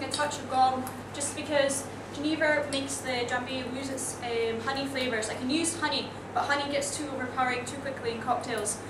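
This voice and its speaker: A woman speaks at a fairly quick pace with a Scottish accent. Noticeable background noise runs beneath her voice. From Netherlands and US, lives in Scotland. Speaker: bartender. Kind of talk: presentation demonstrating a cocktail. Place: bar. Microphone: camera far.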